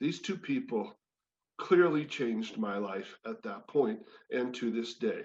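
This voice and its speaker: At a fairly slow pace, a man speaks at a fairly high pitch with very wide pitch swings. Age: 60s. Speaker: former sportscaster and wellness speaker. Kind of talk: personal testimony talk. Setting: spiritual community service.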